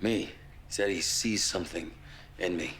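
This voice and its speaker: Putting on a character voice, a man talks in a raspy, fairly low register at a moderate pace, with clear background noise behind him. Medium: short film.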